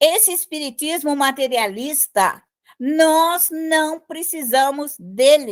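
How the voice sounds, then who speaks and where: A woman with a high pitch speaks very slowly with lively intonation in a very clean recording with a silent background. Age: 70s. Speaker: spiritist teacher. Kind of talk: lecture.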